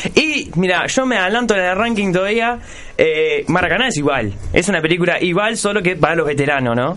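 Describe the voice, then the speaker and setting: Audible room echo surrounds a man speaking with a Uruguayan accent. His high voice moves at a fairly quick pace with lively intonation. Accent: Rioplatense Spanish (Uruguayan). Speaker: radio show host. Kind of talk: casual chat.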